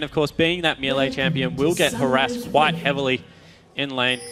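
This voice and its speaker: Music plays in the background as a man speaks at a moderate pace. He has an Australian accent and a fairly high pitch. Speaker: esports commentator. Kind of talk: live commentary.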